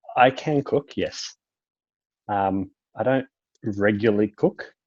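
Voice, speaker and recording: Here a man with an Australian accent speaks at a medium pitch. His pace is very slow. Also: ordinary pitch variation. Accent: Australian, sounds British to Brazilians. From Australia, Melbourne. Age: 20s. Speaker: university student. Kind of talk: casual chat. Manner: hesitant, many ums.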